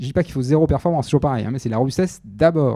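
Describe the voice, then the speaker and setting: On a very clean recording with a silent background, a man's dark, mellow tone shows ordinary pitch variation. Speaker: research biologist, conference speaker. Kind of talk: lecture. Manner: fast.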